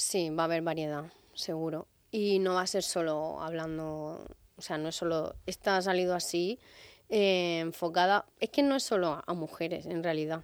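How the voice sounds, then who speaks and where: An ordinary speaking voice moves at a moderate pace with fairly even intonation, on a very clean recording with a silent background. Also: woman, fairly low pitch for a woman. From Murcia, Spain. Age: 30s. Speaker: singer. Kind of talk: radio interview.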